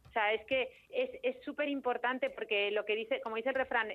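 A woman talks at a fairly quick pace in a high pitch. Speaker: dermatologist. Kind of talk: expert interview. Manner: energetic.

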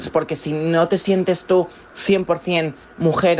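Over noticeable background noise, a woman talks in a monotone, flat intonation at a fairly low pitch. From Valencia, Spain. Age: 20s. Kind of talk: interview testimony. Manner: halting.

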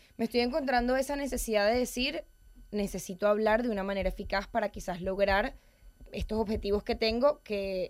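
At a fairly quick pace, a woman talks at medium pitch with ordinary pitch variation in an unremarkable speaking voice. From Venezuela. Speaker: public speaking coach. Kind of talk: interview.

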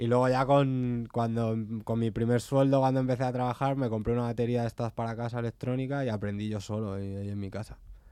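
Very fast, near-pauseless speech from a man with a dark, mellow tone and monotone, flat intonation. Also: medium pitch for a man. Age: 20s. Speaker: punk band drummer. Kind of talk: radio interview.

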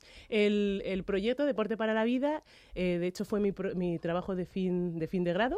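A woman talks at a moderate pace in a dark, mellow tone. The background is quiet. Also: medium pitch for a woman, ordinary pitch variation. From Madrid, Spain. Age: 30s. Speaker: athlete. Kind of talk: radio interview. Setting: radio studio. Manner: halting, frequent repetitions.

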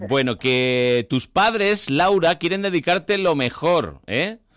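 A man's pitch swings very widely, captured on a very clean recording with a silent background. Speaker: radio host. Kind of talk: casual chat. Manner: animated.

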